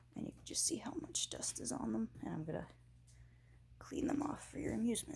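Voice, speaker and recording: Whispering at a fairly quick pace, a woman breaks off with long, frequent pauses over noticeable background noise. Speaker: antique collector vlogger. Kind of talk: casual vlog narration while cleaning. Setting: at home, kitchen sink. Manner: hesitant, many fillers.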